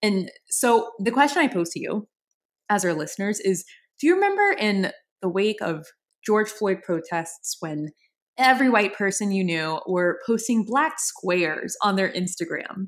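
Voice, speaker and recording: A woman with an American accent and an ordinary speaking voice, medium pitch, lively intonation and a moderate pace, on a very clean recording with a silent background. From New Orleans, US. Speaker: podcast co-host. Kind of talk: casual chat.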